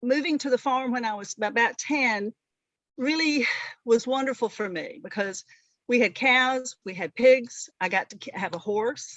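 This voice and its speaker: With a Southern US accent, the speaker talks at a moderate pace, with big swings in loudness and ordinary pitch variation. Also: woman, high pitch for a woman. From US South, rural northeast Alabama. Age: 60s. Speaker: veterinarian. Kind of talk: interview. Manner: halting.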